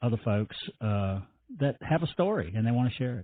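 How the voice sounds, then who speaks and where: A man with a Virginia accent, at a moderate pace. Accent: Southern US (Virginia). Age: 60s. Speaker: salvage business owner and TV personality. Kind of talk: interview conversation. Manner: halting, many repetitions.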